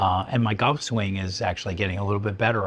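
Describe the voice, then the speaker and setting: Somewhat breathy and fairly low in pitch, a man speaks with fairly even intonation. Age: 70s. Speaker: psychiatrist giving a fitness testimonial. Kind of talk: interview testimonial. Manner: halting, many fillers and restarts.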